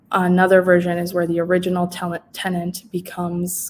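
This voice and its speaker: A woman's fairly low-pitched voice at a moderate pace. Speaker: housing services presenter. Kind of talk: informational webinar presentation. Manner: hesitant, many fillers.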